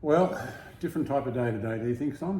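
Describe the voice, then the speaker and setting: With audible room echo around him, a man speaks at a fairly high pitch with lively intonation. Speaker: travel vlogger. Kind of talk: casual chat. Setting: apartment.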